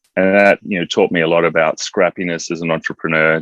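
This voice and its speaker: Speaking fairly quickly with an Australian accent, a man with a very deep, low voice is heard in a dry, close recording with no echo. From Australia, Adelaide. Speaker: entrepreneur, former Olympic athlete. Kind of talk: interview.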